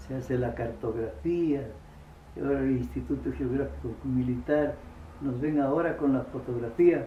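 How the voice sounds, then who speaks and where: Noticeable background noise and audible room echo surround the speaker. A man talks at a moderate pace. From Ecuador, Loja. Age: 80s+. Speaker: local elder and oral historian. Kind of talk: interview testimony. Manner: halting.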